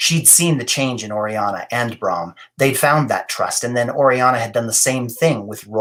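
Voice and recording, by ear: This voice is reading aloud in a natural voice, with ordinary pitch variation.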